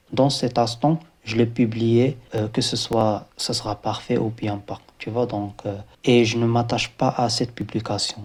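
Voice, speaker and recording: The intonation is monotone and flat. The voice sounds somewhat breathy. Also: man, medium pitch for a man, fairly slow pace. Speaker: embedded software engineer, video creator. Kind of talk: motivational talk to camera. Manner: halting, many hesitations.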